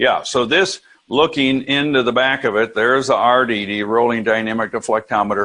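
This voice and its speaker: A man's ordinary speaking voice sits at a medium pitch, with ordinary pitch variation, as he moves along at a fairly quick pace. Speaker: professor. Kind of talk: lecture.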